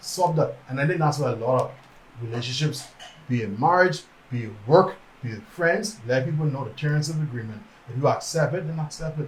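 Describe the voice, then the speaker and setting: Mumbling at a fairly quick pace, a man speaks with fairly high pitch and ordinary pitch variation, with audible room echo. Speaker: podcast co-host. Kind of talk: casual chat. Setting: livestream. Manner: fast, mumbling.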